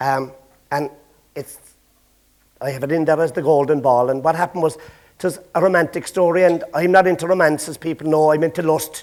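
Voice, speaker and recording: Fairly high in pitch, a man with a Cork accent talks at a fairly quick pace with fairly even intonation. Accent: Irish, Cork. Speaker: storyteller. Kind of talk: traditional storytelling to a live audience. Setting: stage with audience.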